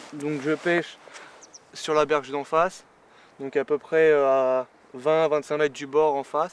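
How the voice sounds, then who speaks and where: Monotone and flat in intonation, a man with a fairly high pitch speaks at a fairly slow pace. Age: 20s. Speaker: carp angler. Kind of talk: casual explanation to camera. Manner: hesitant, many fillers.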